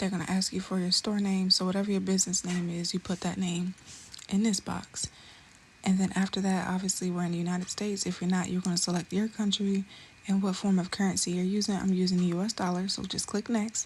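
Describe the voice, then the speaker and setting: A woman's medium-pitched voice at a very fast pace, monotone and flat in intonation. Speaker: beauty business YouTuber. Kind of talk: tutorial. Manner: casual and chatty.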